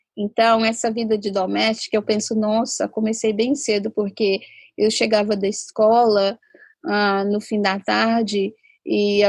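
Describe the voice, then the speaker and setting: In a dry, close sound with no echo and a quiet background, a woman speaks at a medium pitch and fairly slow pace, her intonation monotone and flat. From inland southeastern Brazil. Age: 40s. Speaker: sociologist and labor activist. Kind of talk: interview testimony. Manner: halting.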